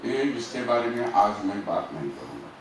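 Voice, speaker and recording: Over noticeable background noise, a man speaks with a Marathi accent at medium pitch and ordinary pitch variation. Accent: Marathi-accented Hindi. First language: Marathi (speaking Hindi). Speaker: activist. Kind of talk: conference speech.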